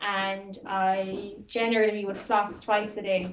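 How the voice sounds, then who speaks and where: A woman with a Kerry accent, medium-pitched, at a very slow pace. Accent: Kerry Irish. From Ireland, County Kerry. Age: 20s. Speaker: student interviewee. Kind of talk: interview.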